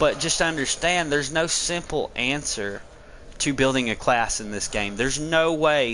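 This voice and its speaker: Speaking with a strong Southern US accent at a fairly slow pace, a man with a fairly high pitch has a bright, sharp tone and ordinary pitch variation. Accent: very thick Southern country. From Tennessee mountains, US South. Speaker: gaming streamer. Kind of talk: gameplay commentary and tutorial. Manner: casual, conversational.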